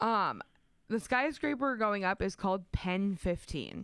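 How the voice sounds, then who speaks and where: A woman speaks at a fairly slow pace with ordinary pitch variation, in a normal speaking voice. The recording is very clean, with a silent background. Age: 20s. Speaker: radio co-host. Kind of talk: casual chat.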